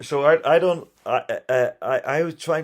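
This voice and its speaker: This man speaks with a Geordie accent. His pace is very slow. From northeast England. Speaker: firefighter and refugee rescuer. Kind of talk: interview.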